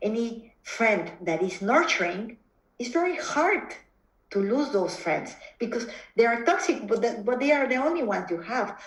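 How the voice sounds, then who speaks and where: Against audible room echo, a woman with a Mexican accent talks at a fairly slow pace and a fairly high pitch, her voice making very wide pitch swings. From Mexico. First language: Spanish. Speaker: psychotherapist. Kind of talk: interview conversation. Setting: video call. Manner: halting, frequent repetitions.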